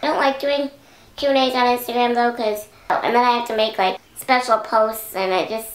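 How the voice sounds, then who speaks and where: Over noticeable background noise, a woman speaks at a moderate pace in a high pitch. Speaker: beauty YouTuber. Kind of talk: casual chat. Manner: animated.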